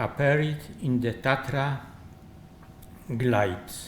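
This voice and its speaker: Amid audible room echo, a man with a Polish accent speaks at a very slow pace, somewhat breathy. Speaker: architect. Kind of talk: lecture. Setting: conference. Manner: halting.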